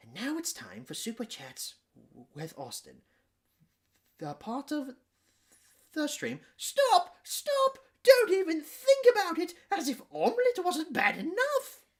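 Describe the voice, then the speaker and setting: A man uses a put-on character voice at an extremely high pitch. He leaves long, frequent pauses. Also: fairly slow pace. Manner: comedic, exaggerated.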